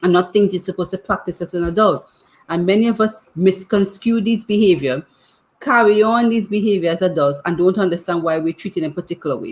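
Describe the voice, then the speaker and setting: Somewhat breathy, a woman talks at a fairly quick pace with medium pitch and ordinary pitch variation. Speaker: co-host of couples talk show. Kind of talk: casual talk with scripture reading. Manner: soft-spoken.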